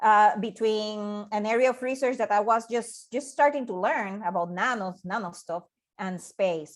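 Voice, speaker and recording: In a Puerto Rican accent, a woman talks at a moderate pace with a fairly high pitch and ordinary pitch variation, on a very clean recording with a silent background. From Puerto Rico. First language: Spanish. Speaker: scientist and NASA project manager. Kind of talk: invited presentation. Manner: halting, many repetitions and fillers.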